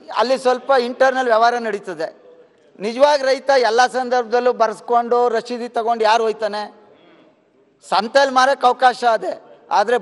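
A man talks at an extremely high pitch. His pitch varies in an ordinary way. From Karnataka. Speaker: legislator. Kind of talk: parliamentary debate. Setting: legislative assembly. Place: hall. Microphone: podium.

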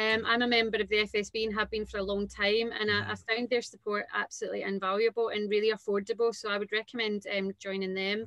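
In a Glaswegian accent, a woman with a fairly high pitch talks at a very fast pace with hardly any pauses and monotone, flat intonation, in a dry sound with no echo and a quiet background. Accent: Glaswegian Scottish. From Scotland, Renfrew near Glasgow; Scotland. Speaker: entrepreneur, dance school founder; guest. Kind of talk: casual interview. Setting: video call. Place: home room. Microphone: video call.

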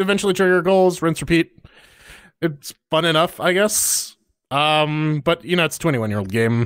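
Against a quiet background, a man with a fairly high pitch speaks at a moderate pace in an animated tone with lively intonation. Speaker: gaming podcast co-host. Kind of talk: casual chat. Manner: animated, laughing often. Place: studio. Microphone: studio mic.

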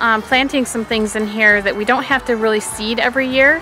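Clear music plays behind a woman whose dry, echo-free voice has ordinary pitch variation. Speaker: home gardener vlogger. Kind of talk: casual vlog chat. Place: garden. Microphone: phone near.

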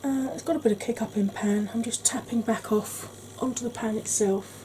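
A woman with an English accent and a high pitch talks at a moderate pace over noticeable background noise. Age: 40s. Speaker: beauty YouTuber. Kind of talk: tutorial. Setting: home.

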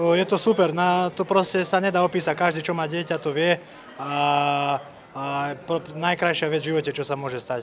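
At a moderate pace, a man with a plain, everyday voice speaks at a fairly high pitch, with light background noise. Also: fairly even intonation. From Slovakia. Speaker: MMA fighter. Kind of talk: post-fight interview. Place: hall. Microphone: handheld.

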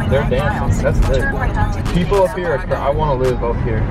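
With loud music in the background, a man speaks at a moderate pace in a dry sound with no echo. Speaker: vlogger. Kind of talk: casual vlog chat. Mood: cheerful, excited. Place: car. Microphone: phone near.

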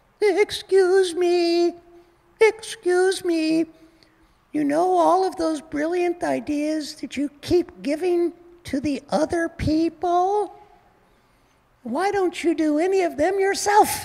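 Putting on a character voice, a man speaks at an extremely high pitch and a fairly slow pace, leaving long, frequent pauses. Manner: polite, gently challenging.

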